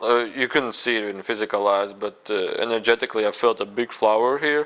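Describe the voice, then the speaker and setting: Very clean recording of a man at a moderate pace against a silent background. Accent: non-native. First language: not English. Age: 20s. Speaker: spiritual video blogger. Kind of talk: personal testimony monologue. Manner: halting, many fillers.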